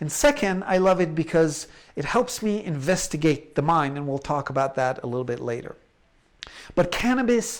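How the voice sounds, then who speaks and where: With an American accent, a man speaks at a fairly high pitch and with lively intonation. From Israel and the United States. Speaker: researcher and lecturer. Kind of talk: online lecture. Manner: slow, halting with fillers.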